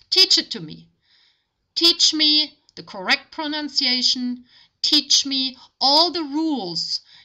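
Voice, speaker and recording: The voice is raised and projected, with a bright, sharp tone and a German accent. It moves at a very slow pace with lively intonation, on a very clean recording with a silent background. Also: woman. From Germany. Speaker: language tutor. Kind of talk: tutorial.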